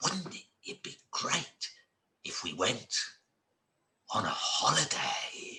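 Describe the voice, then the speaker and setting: A man's put-on character voice, extremely high-pitched, very slow, with long, frequent pauses. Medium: read story.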